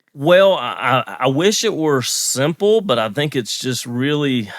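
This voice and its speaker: A man speaks with a slight Southern US accent and ordinary pitch variation. The recording is very clean, with a silent background. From US South, North Carolina. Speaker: marriage and family counselor. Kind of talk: podcast interview.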